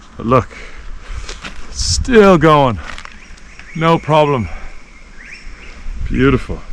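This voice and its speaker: Amid noticeable background noise, a man with a fairly high pitch and lively intonation speaks at a very slow pace with long, frequent pauses. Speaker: travel vlogger. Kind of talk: outdoor walking vlog. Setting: outdoors in a forest. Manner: excited exclamations.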